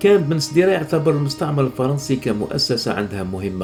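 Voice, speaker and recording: Over music in the background, a man talks fairly quickly with very wide pitch swings. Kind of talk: educational narration on dialect vocabulary.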